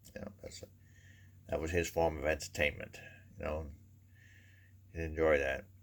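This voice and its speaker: A man's very deep, low voice with a Maine accent. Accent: Downeast Maine. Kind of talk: humorous storytelling to camera. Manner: casual, rambling.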